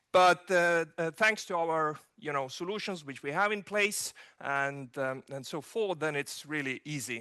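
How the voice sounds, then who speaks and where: A man with an Estonian accent talks at a fairly slow pace in a fairly high, bright, sharp voice. His pitch varies in an ordinary way over a quiet background. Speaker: digital governance expert. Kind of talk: keynote speech. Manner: halting, many fillers.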